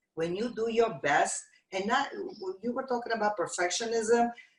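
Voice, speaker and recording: A woman's fairly high voice with a non-native accent. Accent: foreign. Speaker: TV talk show host. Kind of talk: casual chat.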